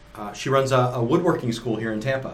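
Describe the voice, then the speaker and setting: A man speaks with fairly even intonation, and room echo is audible. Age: 50s. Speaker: podcast co-host, apparel equipment business. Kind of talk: casual chat.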